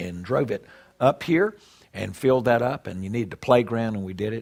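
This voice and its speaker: Using a Southern US accent, a man with a medium-pitched voice talks at a fairly quick pace with lively intonation. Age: 60s. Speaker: pastor. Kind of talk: conference talk. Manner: conversational, with many fillers.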